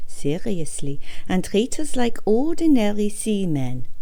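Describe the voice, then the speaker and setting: Her voice has a dark, mellow tone and very wide pitch swings. The woman speaks at a very slow pace. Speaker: story reader. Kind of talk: read short story.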